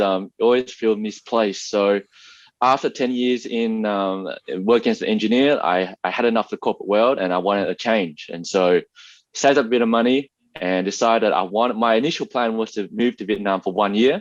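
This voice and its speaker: Against a quiet background, a man with an Australian accent talks at a fairly quick pace with fairly even intonation, the sound dry and close with no echo. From Australia, Melbourne. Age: 30s. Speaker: YouTuber, former engineer. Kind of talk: interview.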